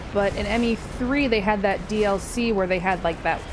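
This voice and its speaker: With music in the background and audible room echo, a woman speaks at medium pitch and a moderate pace, with ordinary pitch variation and very even loudness. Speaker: video game streamer. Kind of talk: gameplay commentary. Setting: live stream. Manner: casual, with fillers; loud at times.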